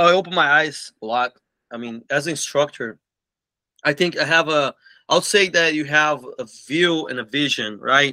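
A man speaks in a Portuguese accent with a bright, sharp tone and fairly high pitch. His pitch varies in an ordinary way against a quiet background. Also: moderate pace. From Brazil, Belo Horizonte. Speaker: martial arts school owner. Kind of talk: interview. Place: office. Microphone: video call.

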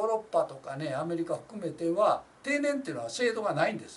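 A man with a Kansai accent speaks at a fairly quick pace, his high-pitched voice swinging very widely in pitch. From Kansai, Japan. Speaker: labor union representative. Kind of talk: informal talk on a labor case. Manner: rambling, many fillers. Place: office.

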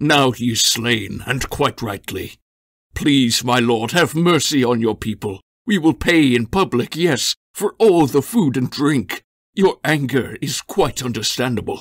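A man puts on a character voice at a medium pitch. He delivers it at a fairly slow pace. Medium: read story. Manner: pleading, wheedling.

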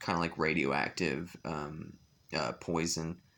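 A man's very deep, low voice with vocal fry and a bright, sharp tone, at a fairly slow pace. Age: 20s. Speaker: vlogger. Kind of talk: vlog monologue. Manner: halting, many fillers and repetitions. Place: home room. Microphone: phone near.

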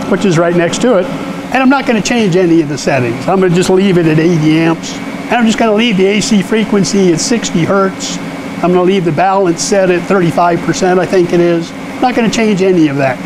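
A man with a high voice and ordinary pitch variation speaks at a moderate speed amid noticeable background noise. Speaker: welding instructor. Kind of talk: tutorial. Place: workshop.

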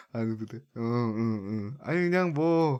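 A man with an ordinary speaking voice talks at a medium pitch. His intonation is lively. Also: very clean recording, silent background. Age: 20s. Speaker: gaming streamer taking viewer calls. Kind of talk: casual chat.

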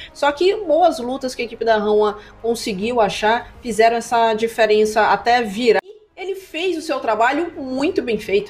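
Talking at a moderate pace with hardly any pauses, a woman with a fairly high voice uses lively intonation and big swings in loudness over noticeable background noise. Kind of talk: esports commentary with analytical replay explanation. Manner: calmer, explanatory, conversational.

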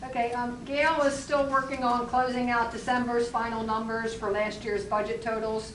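Loud and high-pitched, a woman talks at a moderate pace with hardly any pauses and a monotone, flat intonation, with audible room echo around her. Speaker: borough council member. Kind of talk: council meeting report.

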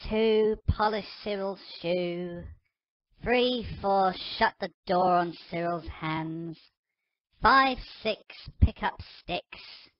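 Using a put-on character voice, a female-sounding speaker talks at a very slow pace and middle pitch with a raspy sound and long, frequent pauses. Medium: audio drama. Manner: grumpy, sarcastic; sing-song taunting while counting.

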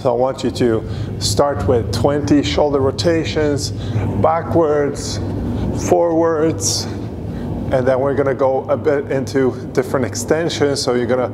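Noticeable background noise sits behind a man who speaks at a fairly slow pace, with long, frequent pauses and ordinary pitch variation. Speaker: fitness coach. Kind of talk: workout instruction. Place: gym. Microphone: lapel.

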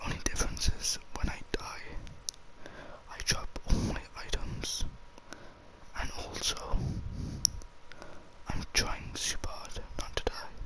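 A man whispering at a very slow pace, with long, frequent pauses. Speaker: ASMR gaming YouTuber. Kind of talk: casual talk to camera while gaming. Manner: soft whispering. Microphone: studio mic.

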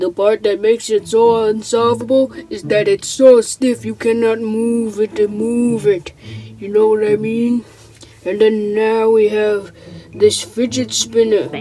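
Over light background noise, a cartoonish character voice with fairly high pitch speaks at a fairly slow pace. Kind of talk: comic puppet skit voice. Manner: slick, rambling sales patter.

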